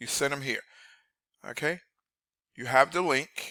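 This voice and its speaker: The recording is very clean, with a silent background and a dry, close sound with no echo. A man speaks at a moderate pace in a medium pitch, and his tone is bright and sharp. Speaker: online marketer. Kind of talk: screen-share tutorial. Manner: energetic.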